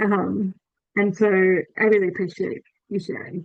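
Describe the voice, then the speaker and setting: In an Australian accent, a woman talks with monotone, flat intonation. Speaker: event host, invasive species society staff. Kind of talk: online presentation wrap-up. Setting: video call.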